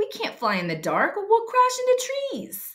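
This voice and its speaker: Putting on a character voice, the woman pitches her words extremely high. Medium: read story. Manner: earnest.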